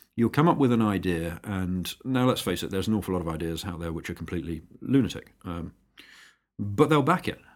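Speaking at a fairly quick pace with a British accent, a man uses a very deep, low pitch and lively intonation on a very clean recording with a silent background. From England. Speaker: aviation startup founder. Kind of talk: interview.

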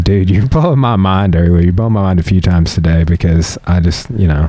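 A man with a very deep, low voice and a Southern US accent talks at a fairly quick pace. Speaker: podcast host and jiu-jitsu practitioner. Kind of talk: casual chat.

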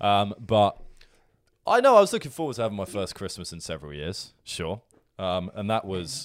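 With an unremarkable speaking voice, a man talks at a moderate pace and fairly low pitch, using lively intonation and big swings in loudness on a very clean recording with a silent background. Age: 20s. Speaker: podcast co-host. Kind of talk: casual banter chat.

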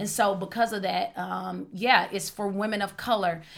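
In an ordinary speaking voice, a woman speaks at a fairly slow pace with medium pitch and fairly even intonation, on a very clean recording with a silent background. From Oklahoma. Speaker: podcast host. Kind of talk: casual chat.

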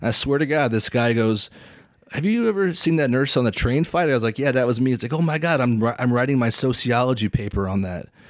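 Speaking at a very fast pace, a man has an American accent. His pitch varies in an ordinary way. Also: medium pitch for a man. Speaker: nurse practitioner and photographer. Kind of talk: casual chat. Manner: halting.

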